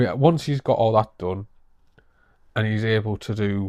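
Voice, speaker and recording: A fairly low-pitched man with a northeast English accent speaks at a moderate pace, with a dry, close sound with no echo and a quiet background. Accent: northeast English (Teesside). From northeast England, Middlesbrough. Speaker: vlogger. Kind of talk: casual vlog update.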